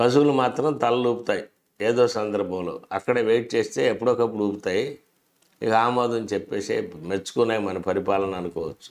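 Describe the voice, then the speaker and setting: A man's medium-pitched voice, with ordinary pitch variation, is heard against a quiet background. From Andhra Pradesh, India. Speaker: political commentator. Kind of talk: political commentary monologue. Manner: sarcastic. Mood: critical, sarcastic. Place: studio. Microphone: lapel.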